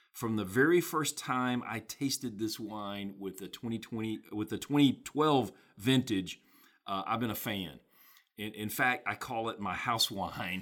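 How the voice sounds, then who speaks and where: Here a man speaks at a medium pitch with ordinary pitch variation and an unremarkable speaking voice. His pace is fairly slow. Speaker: podcast co-host, wine lover. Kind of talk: casual chat.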